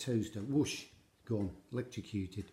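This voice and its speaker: A man speaks at a moderate pace with lively intonation. His tone is dark and mellow, and somewhat breathy. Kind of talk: comedic monologue to camera.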